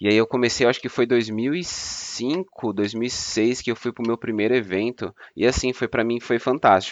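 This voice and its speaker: Here a man talks in a plain, everyday voice, medium in pitch with fairly even intonation. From São Paulo city, Brazil. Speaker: fraud prevention analyst, anime fan. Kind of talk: casual chat.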